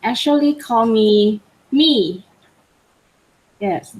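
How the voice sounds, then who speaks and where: With a Thai accent, a woman speaks at a very slow pace, her fairly high pitch carried by lively intonation. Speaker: PhD student. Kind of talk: self-introduction in webinar.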